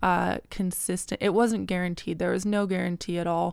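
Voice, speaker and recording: Recorded very cleanly over a silent background, a woman talks at a medium pitch and a moderate pace. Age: 30s. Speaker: DJ and classically trained pianist. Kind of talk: casual chat. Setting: studio.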